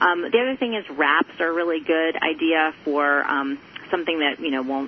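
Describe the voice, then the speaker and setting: Over noticeable background noise, a woman talks in a very deep, low voice. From US South. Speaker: gluten-free food blogger. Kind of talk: radio interview.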